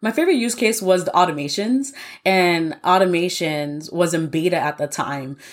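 With an American accent and an unremarkable speaking voice, this speaker talks at a moderate pace with lively intonation. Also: woman, fairly low pitch for a woman. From New York. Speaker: software engineer. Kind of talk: interview.

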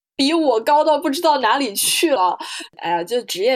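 This woman's pitch swings very widely. She moves at a fairly quick pace. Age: 20s. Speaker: podcast co-host, comparative literature PhD student and interpreter. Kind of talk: casual chat.

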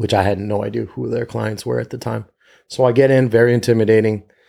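Talking at a very fast pace, a man uses a fairly low pitch with vocal fry and a dark, mellow tone. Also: very clean recording, silent background. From US, Northern Virginia. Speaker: entrepreneur and community organizer. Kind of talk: podcast interview. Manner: animated storytelling.

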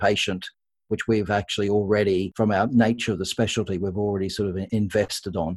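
Over a very clean recording with a silent background, a man with a fairly low pitch talks at a fairly quick pace and with fairly even intonation. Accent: Australian. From Australia. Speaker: intensive care consultant. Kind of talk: interview discussing medical ethics.

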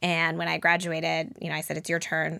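A woman's fairly low, bright, sharp voice with vocal fry and an American accent. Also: very clean recording, silent background. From Denver, Colorado, US. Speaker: startup founder and CEO. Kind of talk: interview.

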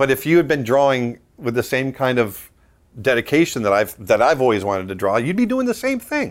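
In an American accent, a man with an ordinary speaking voice talks at a medium pitch and a fairly quick pace, with lively intonation. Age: 50s. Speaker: animator and artist. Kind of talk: interview.

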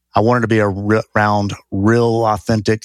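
Over a silent background in a very clean, dry, close recording with no echo, a man with a Southern US accent talks at a fairly slow pace in a flat monotone. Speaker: real estate investor. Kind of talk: casual interview.

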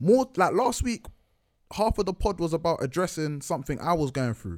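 In a very clean recording with a silent background, a man with a London accent speaks in a dark, mellow tone with very wide pitch swings. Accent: multicultural London English. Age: 20s. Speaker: podcast co-host guest. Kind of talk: casual chat.

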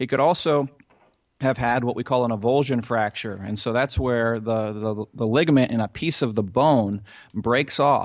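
A man with a Midwestern American accent speaks at a moderate pace with ordinary pitch variation. The background is quiet. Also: medium pitch for a man. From US Midwest (central Ohio). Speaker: physical therapist and fantasy injury analyst. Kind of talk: podcast interview, explaining injuries.

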